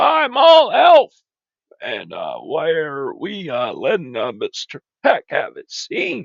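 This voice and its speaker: A put-on character voice from a man, delivered at a fairly slow pace. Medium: machinima. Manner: friendly, easygoing.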